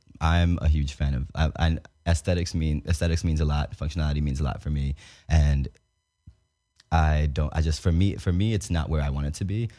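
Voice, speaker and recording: Over music in the background, a man with an American accent speaks at a fairly quick pace, his very deep, low voice fairly even in intonation. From Dominican family, New York. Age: 20s. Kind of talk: casual interview chat. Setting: studio.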